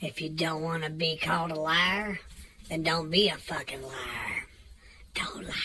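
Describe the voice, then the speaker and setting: A woman talks at a fairly slow pace in a fairly low pitch, with light background noise. Her intonation is monotone and flat. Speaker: comedic rant vlogger. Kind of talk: profane comedic angry rant. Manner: taunting, mocking, trash-talking. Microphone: phone near.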